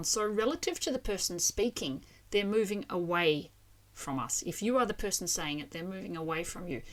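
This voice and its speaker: Speaking with an Australian accent at a moderate pace, a woman uses lively intonation and big swings in loudness on a very clean recording with a silent background. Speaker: language teacher. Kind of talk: educational explainer to camera.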